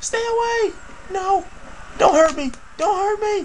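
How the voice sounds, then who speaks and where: Someone uses a put-on character voice at an extremely high pitch, speaking at a fairly slow pace with clear background noise behind it. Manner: mock panicked pleading.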